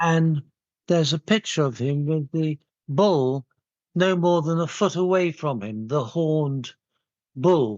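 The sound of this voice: A man speaks at a slow pace. His tone is slightly mellow. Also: fairly high pitch for a man, ordinary pitch variation.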